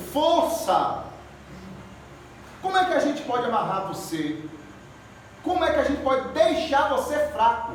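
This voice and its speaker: Amid noticeable background noise and audible room echo, a man speaks at a fairly slow pace with long, frequent pauses and an extremely high pitch. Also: ordinary pitch variation. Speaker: evangelist preacher. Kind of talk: sermon. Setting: church service. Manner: animated. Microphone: speaking without microphone.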